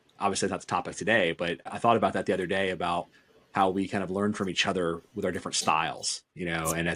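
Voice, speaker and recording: Very deep and low in pitch, a man races along at a very fast pace in monotone, flat intonation. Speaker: podcast co-host, company CEO. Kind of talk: casual podcast conversation.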